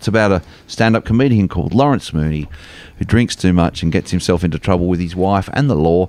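With an Australian accent, a man talks at a fairly quick pace in a very deep, low pitch. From Australia, Melbourne eastern suburbs. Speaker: comedian. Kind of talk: casual chat. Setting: studio.

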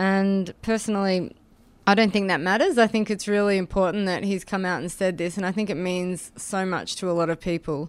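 With an Australian accent, a woman talks at a fairly quick pace and with fairly even intonation in a very clean recording with a silent background. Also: medium pitch for a woman. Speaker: activist. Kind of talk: radio interview, casual chat. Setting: studio.

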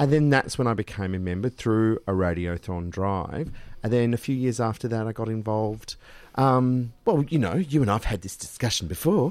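Speaking at a moderate pace with an Australian accent, a man uses lively intonation at a medium pitch. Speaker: radio host. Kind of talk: casual chat. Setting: studio. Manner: animated.

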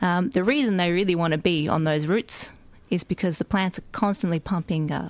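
In a very clean recording with a silent background, a woman talks at a fairly quick pace with ordinary pitch variation. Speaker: soil microbial ecology researcher. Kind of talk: casual radio interview, explaining science in plain chatty terms. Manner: animated, chatty, jokey.

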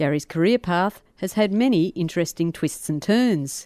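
Lively intonation marks a woman's dark, mellow voice, pitched fairly low. The sound is dry and close with no echo, over a quiet background. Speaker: community radio host. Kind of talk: interview. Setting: studio.

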